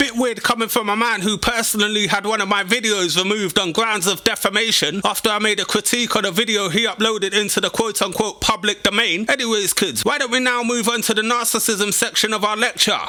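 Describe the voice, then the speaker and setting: Talking very fast with hardly any pauses, a man uses a raised, projected voice at a high pitch, fairly even intonation and very even loudness over noticeable background noise. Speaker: YouTube commentator. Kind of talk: satirical commentary to camera. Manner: sarcastic, mocking.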